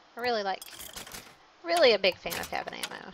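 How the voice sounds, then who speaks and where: Speaking at a fairly quick pace, a woman is heard over noticeable background noise. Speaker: gaming streamer. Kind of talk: live gameplay commentary. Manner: fast talker; animated.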